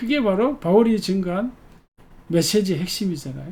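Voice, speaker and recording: A man at a moderate pace. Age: 70s. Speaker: pastor. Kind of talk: sermon. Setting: church service. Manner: conversational, reflective with fillers.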